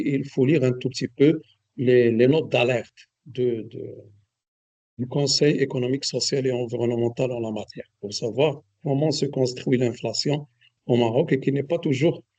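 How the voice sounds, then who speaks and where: A man speaks at a moderate pace with a medium pitch and a dark, mellow tone. His intonation is fairly even, with long, frequent pauses. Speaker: economist lecturer. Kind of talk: lecture. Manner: hesitant, many fillers. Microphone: too quiet for some listeners.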